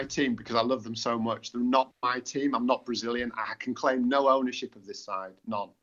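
Speaking with lively intonation, a man talks in an English accent. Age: 40s. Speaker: author. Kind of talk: interview.

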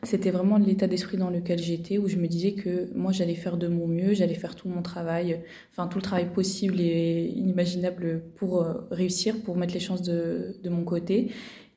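Audible room echo carries a monotone, flat delivery that has hardly any pauses. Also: woman, fairly low pitch for a woman, moderate pace. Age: 20s. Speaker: medical student. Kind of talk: testimony. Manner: hesitant.

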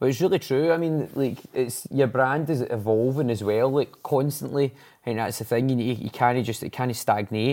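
A man with a Glasgow accent, medium pitch and a dark, mellow tone, talking at a moderate pace with hardly any pauses. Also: ordinary pitch variation. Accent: Scottish (Glasgow area). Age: 40s. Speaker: podcast host. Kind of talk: casual chat. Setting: studio.

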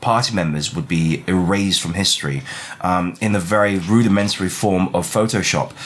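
The speaker is a man with a fairly low pitch. Noticeable background noise is present. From Chinese heritage. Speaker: book club podcast host. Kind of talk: casual chat. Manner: animated.

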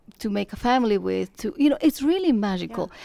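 A woman with a Spanish accent on a very clean recording with a silent background. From Colombia. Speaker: real estate broker. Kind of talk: casual interview.

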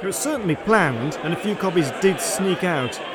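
Over crowd noise in the background, a man with a high pitch speaks at a moderate pace. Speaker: radio host. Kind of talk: radio DJ patter introducing live tracks. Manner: clear, even-paced, informal, with chuckles.

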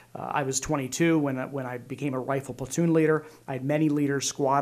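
In a Pennsylvania accent, a man talks at a very fast pace. His voice is fairly high, with monotone, flat intonation. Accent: Pennsylvania American. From Pennsylvania, Lancaster County. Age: 40s. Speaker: state senator and army veteran. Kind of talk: interview conversation.

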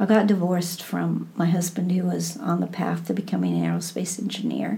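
A woman in a Midwestern American accent talks at a moderate pace with hardly any pauses, against noticeable background noise. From US Midwest, Iowa. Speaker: Buddhist teacher. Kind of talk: interview.

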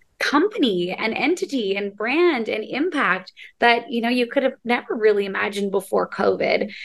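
An ordinary speaking voice moves along at a moderate pace. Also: woman. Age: 30s. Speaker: podcast host and TV host. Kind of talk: casual interview chat.

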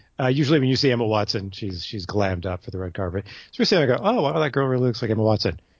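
The man's voice is somewhat breathy. He talks at a medium pitch. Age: middle-aged. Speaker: podcast co-host, movie reviewer. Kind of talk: casual chat.

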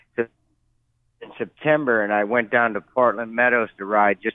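A normal speaking voice with an American accent at a moderate pace. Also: man. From US Midwest, Cleveland. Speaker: jockey. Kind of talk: interview.

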